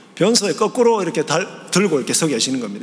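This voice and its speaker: A man at a very fast pace with very wide pitch swings, plus audible room echo and noticeable background noise. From Gyeongsang province, South Korea. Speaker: theology professor, guest preacher. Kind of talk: sermon. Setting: church.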